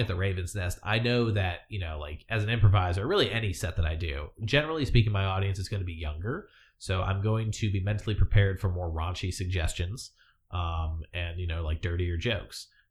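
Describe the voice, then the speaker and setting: Very deep, low male voice, somewhat breathy, at a fairly quick pace with ordinary pitch variation. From US military family, Hawaii and other states. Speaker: former navy sailor, expat improv performer. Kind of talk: casual interview chat. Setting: live-streamed studio podcast.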